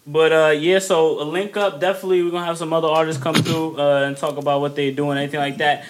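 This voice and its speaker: Over noticeable background noise, a man with a fairly high pitch talks at a very fast pace with hardly any pauses. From Dominican heritage. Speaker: podcast host. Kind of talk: casual chat. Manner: animated.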